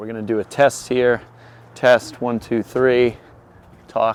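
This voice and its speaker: With big swings in loudness, a man talks at a fairly slow pace in a medium pitch and monotone, flat intonation. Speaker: DIY YouTuber. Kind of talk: casual chat.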